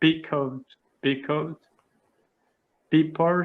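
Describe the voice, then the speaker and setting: A man speaks at a very slow pace in a Portuguese accent. His voice sits fairly high in pitch. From Brazil, São Paulo area. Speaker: English learner. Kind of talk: language lesson. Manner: halting, stammering.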